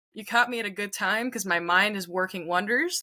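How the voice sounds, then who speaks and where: Bright and sharp in tone, a woman with a Montreal accent speaks at a medium pitch and a moderate pace. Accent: Montreal anglophone Canadian English. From Quebec, Canada. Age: 20s. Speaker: singer-songwriter. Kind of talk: casual interview chat.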